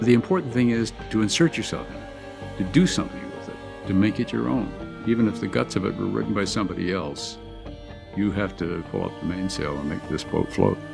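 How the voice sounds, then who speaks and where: The voice moves at a fairly quick pace with very wide pitch swings. Music plays in the background. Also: man, very deep, low pitch for a man. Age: 70s. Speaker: TV news correspondent. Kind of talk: interview answer.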